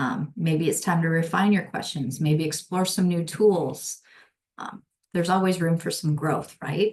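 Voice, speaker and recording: Delivered at a fairly slow pace, the somewhat breathy voice shows ordinary pitch variation. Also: woman, fairly low pitch for a woman. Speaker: instructional designer. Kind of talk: webinar presentation.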